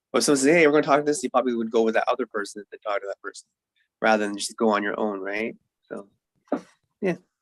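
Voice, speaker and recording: A quiet man speaks very fast yet leaves long, frequent pauses, his loudness swinging widely and his pitch varying in an ordinary way, in a dry, close sound with no echo. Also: medium pitch for a man. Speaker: podcast co-host. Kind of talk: casual chat.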